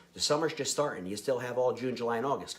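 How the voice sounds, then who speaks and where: The speaker uses an animated tone with an American accent. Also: man. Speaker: fitness vlogger. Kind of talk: casual vlog talk to viewers. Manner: fast; animated, high energy.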